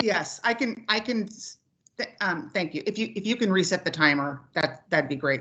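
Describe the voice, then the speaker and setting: A woman with a West Coast US accent, a bright, sharp tone and very wide pitch swings, at a moderate pace. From Oregon. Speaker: public commenter. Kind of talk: public testimony.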